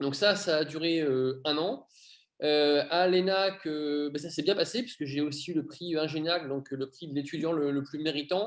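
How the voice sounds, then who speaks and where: A man with an ordinary speaking voice talks at a fairly slow pace, fairly high in pitch, with fairly even intonation. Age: 30s. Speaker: airline pilot. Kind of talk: interview.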